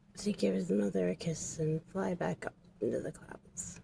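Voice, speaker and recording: A woman's put-on character voice, raspy and very deep and low in pitch, with very wide pitch swings at a moderate pace. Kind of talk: oral myth storytelling. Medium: game stream. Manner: rhythmic, repetitive, simple phrasing.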